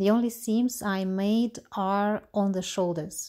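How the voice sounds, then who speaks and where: A woman with a Russian accent speaks at a medium pitch, with ordinary pitch variation. Her tone is dark and mellow. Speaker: knitwear designer. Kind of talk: tutorial. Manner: halting.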